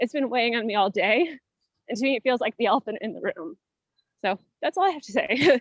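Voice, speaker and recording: A woman talks at high pitch and a fairly quick pace with lively intonation. The sound is dry and close, with no echo. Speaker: community advisory committee member. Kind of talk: group meeting introduction.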